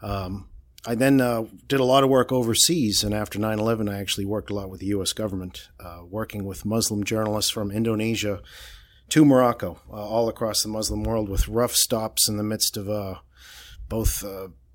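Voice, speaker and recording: A man with a Boston accent, fairly low in pitch, at a fairly quick pace, with ordinary pitch variation, big swings in loudness, and a very clean recording with a silent background. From Boston, Massachusetts. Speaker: political reporter. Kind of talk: casual interview.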